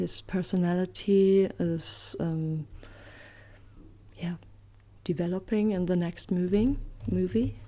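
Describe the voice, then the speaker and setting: Soft-spoken and very slow, with long, frequent pauses, a woman in a German accent uses a fairly low, dark, mellow voice with ordinary pitch variation. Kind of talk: ASMR soft rambling.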